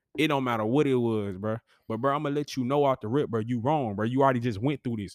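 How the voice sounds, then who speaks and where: A man talks with ordinary pitch variation. The sound is dry and close with no echo, on a very clean recording with a silent background. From Alabama, Huntsville. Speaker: podcast host. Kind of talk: casual chat.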